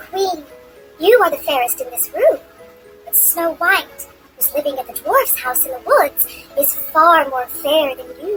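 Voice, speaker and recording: A put-on character voice at a moderate pace over clear music in the background. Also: woman, extremely high pitch for a woman. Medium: read story.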